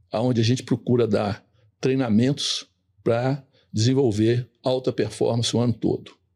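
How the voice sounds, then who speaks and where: On a very clean recording with a silent background, a man speaks at a medium pitch and moderate pace in a dark, mellow, somewhat breathy tone with fairly even intonation. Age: 70s. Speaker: sales trainer. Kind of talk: podcast interview.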